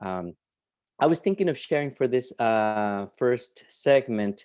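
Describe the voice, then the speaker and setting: Man with a Peruvian accent, medium pitch, ordinary pitch variation and dark, mellow tone at a moderate pace against a quiet background. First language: Spanish. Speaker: writer and literature professor. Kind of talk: conversation and fiction reading. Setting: video call. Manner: halting, many fillers and repetitions.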